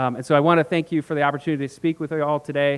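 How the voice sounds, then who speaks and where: This man speaks with a fairly high pitch. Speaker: corporate representative. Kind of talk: conference talk. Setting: stage with audience. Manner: fast.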